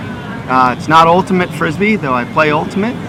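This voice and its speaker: A man with an American accent talks at a fairly slow pace and fairly high pitch, with audible room echo and noticeable background noise. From California, Santa Barbara. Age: 40s. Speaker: frisbee player. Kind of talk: casual interview.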